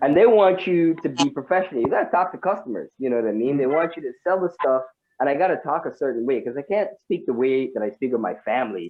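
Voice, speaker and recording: Animated and very fast, a man talks at a fairly high pitch with lively intonation. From Guyana. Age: 30s. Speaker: comedian. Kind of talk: stand-up.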